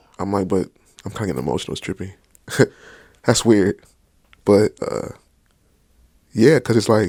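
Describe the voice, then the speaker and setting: A man talks at a fairly quick pace, with a fairly low pitch and vocal fry. He takes long, frequent pauses, and the sound is dry and close with no echo. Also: very clean recording, silent background. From US suburbs. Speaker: podcast guest. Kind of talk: casual chat.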